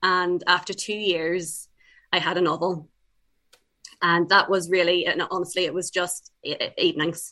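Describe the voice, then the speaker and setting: A woman with an Irish accent talks at a moderate pace in a fairly low voice with a bright, sharp tone. Her intonation is flat and monotone, broken by long, frequent pauses. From Ireland (born in England, moved young). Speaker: debut novelist. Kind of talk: interview.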